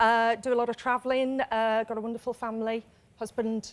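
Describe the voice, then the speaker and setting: In a Birmingham accent, a woman speaks at a moderate pace with a fairly high pitch and monotone, flat intonation, on a very clean recording with a silent background. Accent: Birmingham accent, noticeable. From Birmingham, England. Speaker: quiz contestant, training consultant. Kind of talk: game show chat.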